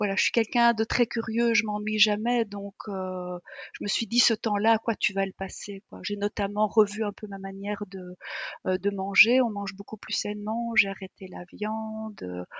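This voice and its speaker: Monotone, flat intonation at a fairly slow pace, with a dry, close sound with no echo. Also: woman, medium pitch for a woman. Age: 50s. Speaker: energy therapist. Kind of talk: casual chat.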